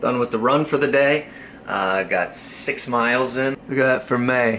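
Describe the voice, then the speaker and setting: Amid noticeable background noise, a man speaks at a moderate pace in an upbeat tone. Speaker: vlogger and comedy TV writer. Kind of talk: casual vlog. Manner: casual, upbeat.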